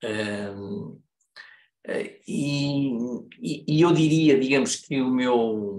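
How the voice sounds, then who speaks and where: A man with a European Portuguese accent, lively intonation and a very slow pace, with long, frequent pauses and audible room echo. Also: medium pitch for a man. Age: 70s. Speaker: business consultant and lecturer. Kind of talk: lecture. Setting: video call. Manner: halting.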